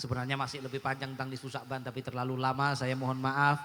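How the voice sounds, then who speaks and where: A man speaks with monotone, flat intonation. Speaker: Islamic preacher. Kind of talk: sermon. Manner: loud.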